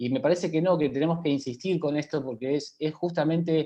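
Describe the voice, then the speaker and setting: This is an ordinary speaking voice. A man talks at a fairly quick pace with a fairly high pitch. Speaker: health professional. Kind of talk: panel talk.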